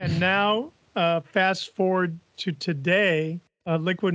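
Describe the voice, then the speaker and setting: Here a man speaks very slowly with an American accent. His voice is high-pitched. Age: 70s. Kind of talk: interview.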